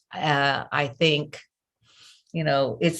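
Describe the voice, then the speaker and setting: Slowly, at a very slow pace, a woman with a slight Southern US accent speaks in fairly even intonation. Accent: slight Southern US twang. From US South, Memphis, Tennessee. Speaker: coach and trainer. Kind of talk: interview.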